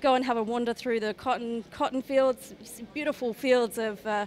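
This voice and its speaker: Light background noise accompanies a woman with a fairly high pitch who talks at a moderate pace with fairly even intonation. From Queensland, Australia (Toowoomba); Queensland, Australia. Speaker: regional tourism promoter. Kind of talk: interview at trade show. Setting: trade show floor. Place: hall. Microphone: handheld.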